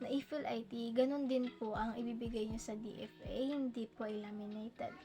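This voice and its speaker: Intonation stays fairly even while the words come at a moderate speed. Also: woman. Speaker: YouTuber. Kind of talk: tutorial. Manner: halting; louder than usual.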